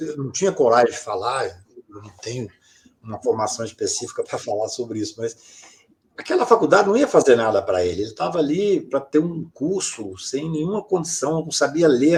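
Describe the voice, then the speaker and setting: With big swings in loudness, a man speaks at a moderate pace. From Brazil, Minas Gerais (Patos de Minas). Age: 60s. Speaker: lawyer. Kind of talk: interview conversation.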